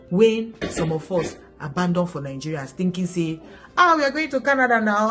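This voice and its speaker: An animated tone with very wide pitch swings comes through at a moderate pace. Music plays in the background, and there is audible room echo. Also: woman. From Nigeria. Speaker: vlogger. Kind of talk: casual vlog advice.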